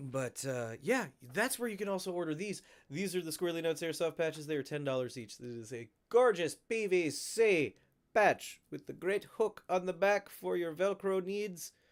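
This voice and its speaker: Lively intonation at a moderate pace, on a very clean recording with a silent background. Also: man, high pitch for a man. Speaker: airsoft YouTuber hosting a livestream. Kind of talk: casual livestream chat. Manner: animated.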